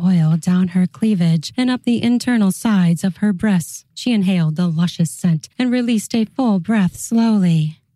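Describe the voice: Reading aloud, plain and simple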